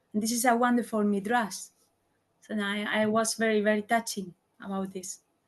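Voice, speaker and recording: In a non-native accent, a woman with a fairly high, somewhat breathy voice speaks at a fairly quick pace in a flat monotone, pausing long and often. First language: not English. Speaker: class participant. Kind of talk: group discussion. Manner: halting.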